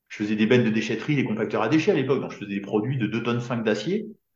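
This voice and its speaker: Audible room echo surrounds a man as he speaks. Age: 50s. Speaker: business coach. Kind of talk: casual chat.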